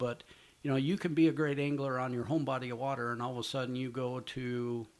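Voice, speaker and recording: With an American accent, a man talks at a fairly quick pace in a medium pitch. It is an unremarkable speaking voice. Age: 60s. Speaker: professional walleye angler and youth fishing promoter. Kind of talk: interview.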